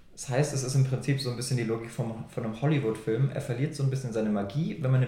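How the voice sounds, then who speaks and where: In a room with audible echo, a man speaks at a very fast pace with fairly even intonation. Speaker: podcast co-host. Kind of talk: casual chat.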